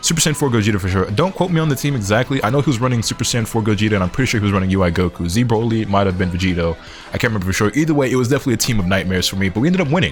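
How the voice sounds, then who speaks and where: With hardly any pauses, a man speaks at a very fast pace with lively intonation and very even loudness over noticeable background noise. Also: fairly low pitch for a man. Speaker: gaming YouTuber. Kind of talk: post-match gameplay commentary. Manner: animated.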